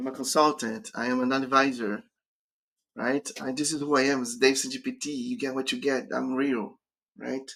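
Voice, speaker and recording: A man with a Brazilian accent talks at a medium pitch in a bright, sharp tone, his pitch varying in an ordinary way. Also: moderate pace. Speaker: career coach. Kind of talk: live stream Q&A.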